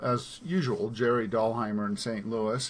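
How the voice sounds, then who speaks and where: A man speaks at a moderate pace and a medium pitch. He has a plain, everyday voice. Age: 60s. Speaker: business webinar host. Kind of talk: online team meeting presentation.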